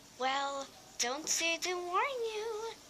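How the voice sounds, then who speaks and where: Against clear background noise, a woman uses a put-on character voice at an extremely high pitch. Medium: read story. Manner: insistent, chatty.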